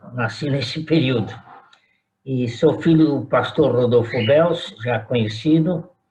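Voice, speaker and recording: A man's somewhat breathy voice at a medium pitch and a very slow pace, with ordinary pitch variation. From Brazil, São Paulo. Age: 80s+. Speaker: retired pastor. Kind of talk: oral history interview.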